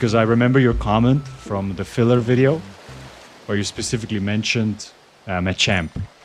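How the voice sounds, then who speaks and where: Over music in the background, a man with a slight Swiss German accent talks at a fairly quick pace, using a medium pitch with ordinary pitch variation. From Switzerland. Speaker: gaming streamer. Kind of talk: casual chat. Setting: live stream.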